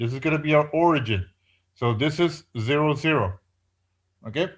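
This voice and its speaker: A man with a fairly high voice speaks with lively intonation. The recording is very clean, with a silent background. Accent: non-native. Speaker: professor. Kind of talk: lecture. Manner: hesitant with many fillers.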